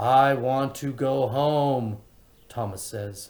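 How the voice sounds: The speaker uses a natural reading voice with ordinary pitch variation.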